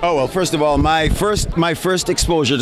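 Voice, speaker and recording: Against noticeable background noise, a man speaks at a fairly quick pace with ordinary pitch variation, the sound dry with no echo. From Jamaica. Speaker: actor. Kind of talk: interview answer. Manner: funny, storytelling. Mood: jovial, laughing. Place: hall. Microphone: handheld.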